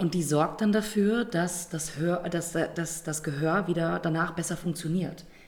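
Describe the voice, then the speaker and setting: This woman's voice is fairly low and somewhat breathy. She talks at a fairly slow pace with fairly even intonation. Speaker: theatre podcast co-host. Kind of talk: casual chat.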